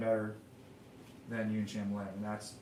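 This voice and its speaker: A man with an American accent speaks over noticeable background noise, with audible room echo. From Texas. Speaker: pianist and composer livestreamer. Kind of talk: casual livestream monologue. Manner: halting, many repetitions and fillers.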